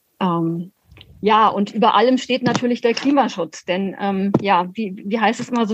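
A woman's somewhat breathy voice, medium in pitch, at a moderate pace. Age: 50s. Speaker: city councillor and local party chair. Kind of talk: interview. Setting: video call.

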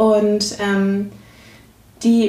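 The speaker is a woman with a fairly high, somewhat breathy voice. Her tone is dark and mellow. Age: 30s. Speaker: systemic coach. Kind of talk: interview.

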